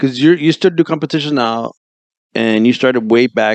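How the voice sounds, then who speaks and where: Lively in intonation, a man talks at a moderate pace in an ordinary speaking voice. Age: 40s. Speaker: interview host. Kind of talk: interview.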